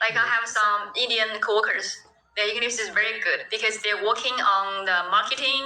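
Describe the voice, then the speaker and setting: With a Chinese accent, a woman speaks at a moderate pace with fairly even intonation and very even loudness. There is noticeable background noise. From China. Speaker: English conversation partner. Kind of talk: casual chat. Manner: halting.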